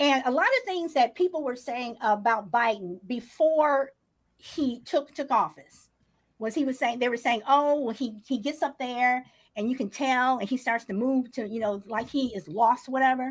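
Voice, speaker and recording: At a moderate pace, a woman speaks in a high pitch with ordinary pitch variation, in a very clean recording with a silent background. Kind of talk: heated debate. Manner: halting.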